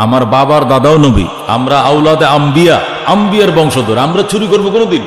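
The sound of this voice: A man with a fairly high pitch speaks at a fast pace amid audible room echo. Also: lively intonation.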